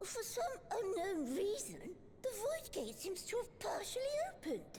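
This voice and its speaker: A put-on character voice at an extremely high pitch talks at a moderate pace over clear background noise. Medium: video game. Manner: excitable, fretful.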